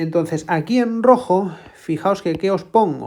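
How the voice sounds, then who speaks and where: A woman's dark, mellow tone in a Spanish accent. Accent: Spain Spanish. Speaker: math tutor. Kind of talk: tutorial.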